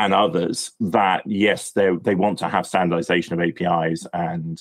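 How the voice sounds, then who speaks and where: Here is a man with a British accent and a very deep, low pitch. He speaks at a moderate pace with monotone, flat intonation. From UK. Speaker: API industry expert. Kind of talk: podcast interview. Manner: halting, frequent repetitions and fillers.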